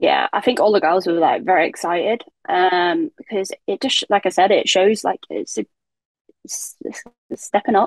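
A woman speaks at a moderate pace with a southern English accent. The sound is dry and close, with no echo. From southern England. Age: 20s. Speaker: professional footballer. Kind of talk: casual interview.

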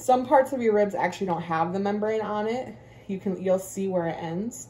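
Somewhat breathy, a woman speaks with lively intonation over light background noise. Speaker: home cook vlogger. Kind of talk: casual cooking tutorial. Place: kitchen. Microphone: phone near.

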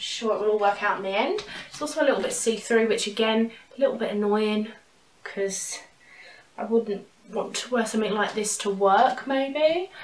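A woman speaks at a moderate pace with a fairly high pitch and ordinary pitch variation. Room echo is audible. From UK. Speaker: YouTuber, fashion and thrift haul creator; fashion vlogger. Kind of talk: casual vlog, try-on haul; casual vlog chat. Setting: at home, in her room. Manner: chatty, animated, casual. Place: home room.

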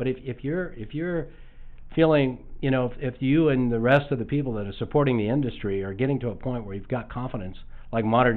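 A man speaks at a fairly quick pace. His pitch variation is ordinary. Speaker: podcast host. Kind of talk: casual interview. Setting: studio. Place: studio.

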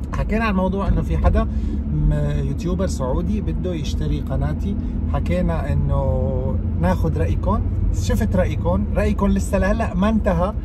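A man at a fairly slow pace with ordinary pitch variation, dry sound with no echo, and loud background noise. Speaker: youtuber. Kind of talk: casual vlog chat. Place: car. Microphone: phone near.

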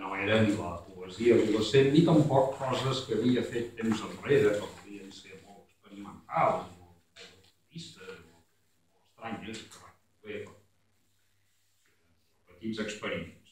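Over light background noise and audible room echo, a man speaks at a very slow pace with ordinary pitch variation and big swings in loudness. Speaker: poet. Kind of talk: poet's spoken introduction to his poems. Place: stage. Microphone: camera far.

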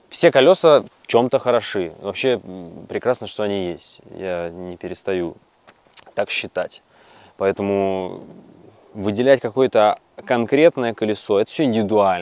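A man speaks at a fairly slow pace in a fairly low voice, his loudness swinging widely and his intonation lively, with long, frequent pauses and a dry sound free of echo. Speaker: electric unicycle rider reviewer. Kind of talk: casual review talk. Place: forest. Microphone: lapel.

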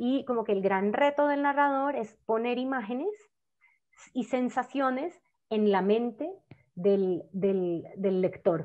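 Against a quiet background, a woman with a fairly high pitch speaks at a very slow pace with lively intonation. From Colombia, Cali (Valle del Cauca); Colombia. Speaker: novelist. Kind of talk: conversation. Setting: video call. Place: home room. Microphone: earbuds.

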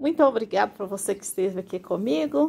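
A very clean recording with a silent background captures a woman speaking at a fairly slow pace with ordinary pitch variation. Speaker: gardening youtuber. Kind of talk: tutorial.

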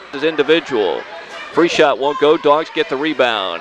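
Noticeable background noise sits under a dry sound with no echo. A man with a fairly high pitch speaks at a moderate pace. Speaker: local sports radio announcer. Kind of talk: live radio basketball play-by-play commentary. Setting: gym, broadcast at a basketball game. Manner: stays upbeat and chatty, adds background on players between plays. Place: hall.

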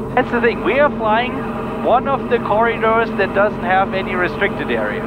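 Over loud background noise, a man talks fairly quickly, the sound dry with no echo. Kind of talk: casual cockpit chat. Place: plane. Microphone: headset.

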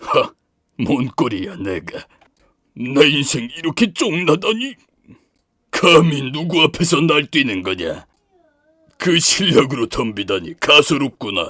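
A man puts on a character voice with fairly high pitch. He leaves long, frequent pauses. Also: fairly slow pace. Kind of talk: game character voice sample.

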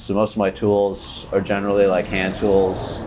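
The speaker is a man with a very deep, low pitch. Light background noise is audible. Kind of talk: interview answer. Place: garage. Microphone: lapel.

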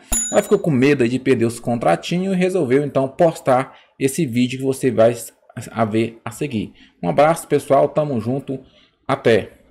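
Lively intonation runs through this man's dark, mellow tone as he speaks at a moderate pace. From Brazil. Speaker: YouTuber, political commentator. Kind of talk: casual vlog intro. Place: home room. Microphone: studio mic.

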